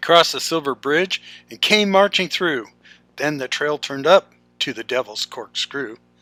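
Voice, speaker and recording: Music plays in the background as the speaker talks at a moderate pace. The sound is dry and close, with no echo. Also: man. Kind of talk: poetry reading.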